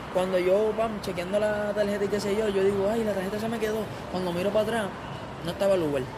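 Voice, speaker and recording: The speech comes at a very fast pace. Background noise is noticeable behind it. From Puerto Rico, Corozal. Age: young. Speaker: content creator and musician. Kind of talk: testimony interview. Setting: live public venue at a mall.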